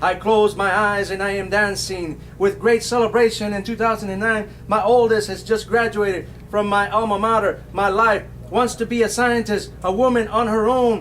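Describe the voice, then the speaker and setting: A man talks at a high pitch with an American accent. His intonation is flat and monotone, with noticeable background noise. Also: moderate pace. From South Texas. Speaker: poet. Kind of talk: poetry reading. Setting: bookstore poetry event.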